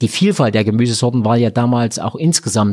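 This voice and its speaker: This man has a dark, mellow tone. His voice sits at a medium pitch. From Thuringia, Erfurt area (rural). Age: 50s. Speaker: hospitality association head, former innkeeper and chef. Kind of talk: interview. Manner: hesitant, many fillers.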